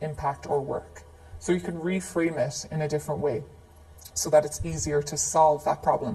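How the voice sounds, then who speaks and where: With an Irish accent, a woman speaks at a very deep, low pitch over noticeable background noise. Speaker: facilitation trainer. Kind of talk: live training tutorial. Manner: casual, conversational with fillers.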